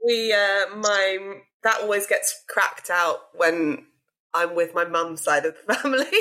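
In a British accent, a woman with a bright, sharp tone speaks at a fairly slow pace, her loudness very even and her pitch variation ordinary. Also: medium pitch for a woman. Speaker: podcast host. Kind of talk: casual interview chat.

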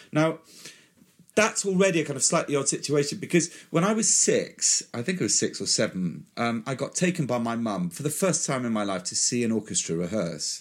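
Very wide pitch swings and vocal fry in a fairly high male voice. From West Country, England. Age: old. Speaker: orchestra conductor. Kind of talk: interview.

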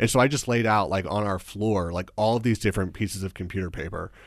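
A man with an unremarkable speaking voice and a fairly low pitch talks at a fairly quick pace in a very clean recording with a silent background. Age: 20s. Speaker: videographer and entrepreneur. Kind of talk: casual chat.

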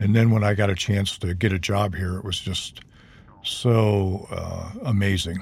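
A man talks at a fairly slow pace in a fairly low, somewhat breathy voice with monotone, flat intonation. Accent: American. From Ohio. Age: 70s. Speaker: retired university dean and voiceover artist. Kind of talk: casual chat. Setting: in a parked van.

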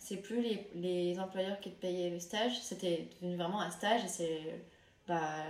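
Over noticeable background noise and audible room echo, a woman talks at a fairly slow pace in a fairly low pitch. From France. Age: 20s. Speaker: chef and restaurateur. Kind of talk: interview.

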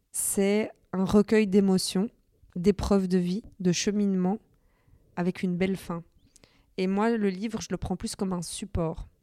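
A woman speaks at a medium pitch in a dark, mellow tone, her intonation flat and monotone. The pace is fairly slow with long, frequent pauses, and the recording is very clean, dry and close, with a silent background and no echo. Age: 30s. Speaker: social media influencer and author. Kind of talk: interview testimony.

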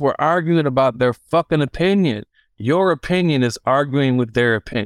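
With a Detroit accent, a man talks at a moderate pace in an animated tone and lively intonation, heard in a dry, close sound with no echo. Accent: Detroit American English. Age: 40s. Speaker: DJ and record store buyer. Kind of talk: interview.

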